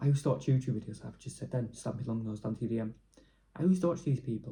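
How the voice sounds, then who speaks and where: Very fast and somewhat breathy, a man talks in a dark, mellow tone at medium pitch with ordinary pitch variation. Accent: Yorkshire. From northern England, Leeds. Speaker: YouTuber. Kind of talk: casual vlog rant. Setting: at home alone. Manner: rambling, fast flow.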